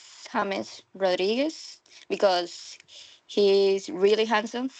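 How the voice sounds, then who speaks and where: A woman with a Colombian accent speaks at medium pitch. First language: Spanish. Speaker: language student. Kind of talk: speaking practice. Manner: halting.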